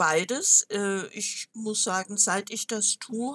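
A woman's bright, sharp, medium-pitched voice, very slow in pace with ordinary pitch variation, dry and close with no echo. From southwestern Germany, village. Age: 70s. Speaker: retired manager and German teacher. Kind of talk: interview.

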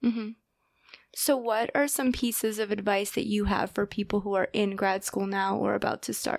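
On a very clean recording with a silent background, a woman in a normal speaking voice talks at a moderate pace and medium pitch with fairly even intonation. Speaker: podcast host and grad student. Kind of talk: interview podcast, casual chat.

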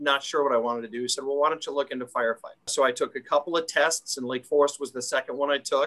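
The speaker talks at a very fast pace with a Chicago accent. The tone is bright and sharp. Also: man. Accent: Chicago-area American. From Illinois, Chicago northwest suburbs. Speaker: fire department division chief. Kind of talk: interview.

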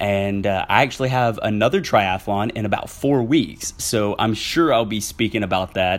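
With a Southern US accent, a man talks at a moderate pace with hardly any pauses. His pitch is fairly low, with ordinary pitch variation. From Southwest Arkansas. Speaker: podcast host. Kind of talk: casual solo podcast monologue. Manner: animated.

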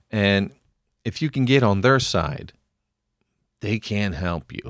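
In a very clean recording with a silent background and a dry, close sound with no echo, a man with an American accent speaks at a very slow pace with long, frequent pauses, a fairly low pitch and lively intonation. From US Northeast, Philadelphia. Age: 40s. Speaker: podcast co-host. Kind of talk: casual chat.

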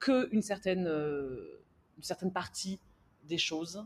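In an ordinary speaking voice, a woman talks fairly slowly with lively intonation. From France. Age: 30s. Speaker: entrepreneur. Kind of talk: interview.

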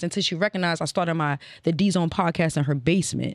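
In a very clean recording with a silent background, a woman with an American accent talks at a very fast pace, her fairly low voice showing ordinary pitch variation. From Northern Virginia (Alexandria), DC area. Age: 30s. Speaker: podcast host and former radio intern. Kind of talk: casual interview chat. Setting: studio with live crew and audience.

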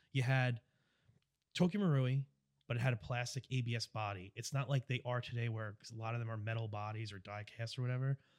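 A man speaks with a New York accent at a very fast pace. His pitch is medium. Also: dry, close sound with no echo. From US Northeast (Long Island, New York). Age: 30s. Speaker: airsoft player. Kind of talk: casual chat. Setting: studio. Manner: loud; animated.

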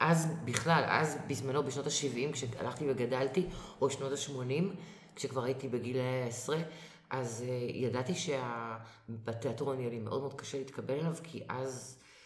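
Over noticeable background noise and audible room echo, a woman talks at a moderate pace. Her very deep, low voice keeps a fairly even intonation. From Israel, Acre. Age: 50s. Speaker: actress. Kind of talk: casual interview.

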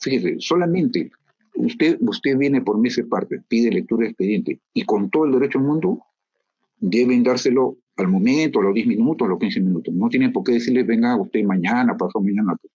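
A man talks at a fairly quick pace and a medium pitch. His pitch swings very widely while his loudness stays very even. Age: 60s. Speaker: judge. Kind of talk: interview.

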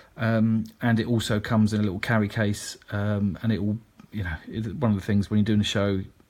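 Speaking at a moderate pace, a man with a British accent uses a fairly low pitch. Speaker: digital marketing consultant and podcast host. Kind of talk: solo podcast monologue, informative business talk. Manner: conversational, fillers, upbeat.

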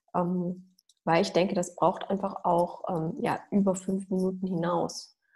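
Medium-pitched, somewhat breathy woman's voice with a dark, mellow tone, monotone, flat intonation and a fairly slow pace. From Germany, Mülheim an der Ruhr near Düsseldorf. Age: 30s. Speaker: doctor specializing in nutrition. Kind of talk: interview.

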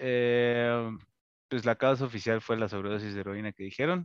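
The sound is dry and close with no echo as a man with a Mexican accent speaks at a medium pitch and moderate pace over a quiet background. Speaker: podcast co-host. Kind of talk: casual chat.

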